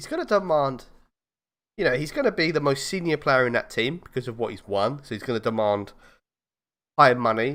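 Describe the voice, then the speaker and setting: Lively intonation from a man with a fairly high pitch and a southern English accent, on a very clean recording with a silent background. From southern England, East London area. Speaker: football fan podcast host. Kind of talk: casual chat. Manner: animated.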